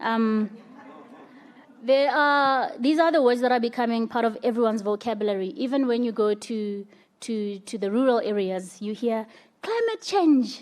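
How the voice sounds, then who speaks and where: A woman's fairly high voice at a moderate pace with ordinary pitch variation, on a very clean recording with a silent background. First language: not English. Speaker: conference panelist. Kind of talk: panel talk.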